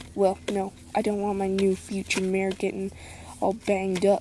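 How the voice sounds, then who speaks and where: Speech comes at a fairly slow pace with a dry sound and no echo. Light background noise can be heard. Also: woman. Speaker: toy horse story narrator. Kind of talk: role-play character dialogue. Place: open country. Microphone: phone near.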